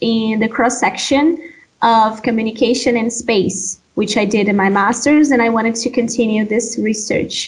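A woman speaks with a Brazilian accent at a high pitch, her pitch varying in an ordinary way. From Brazil, Amazon region (Pará). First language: Portuguese. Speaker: doctoral student. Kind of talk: interview.

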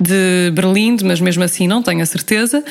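Speaking at a moderate pace, a woman uses an ordinary speaking voice at a medium pitch with ordinary pitch variation. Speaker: podcast host. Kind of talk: casual interview.

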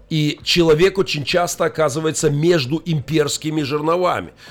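Speech moves at a moderate pace. Music plays in the background. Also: man. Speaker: pastor and army chaplain. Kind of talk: radio talk show interview. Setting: radio studio. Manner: animated, forceful.

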